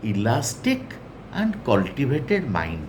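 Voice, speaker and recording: A man with an Odisha accent talks at a very slow pace with very wide pitch swings. Audible room echo surrounds his voice. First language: Odia. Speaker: English teacher. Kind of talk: lecture.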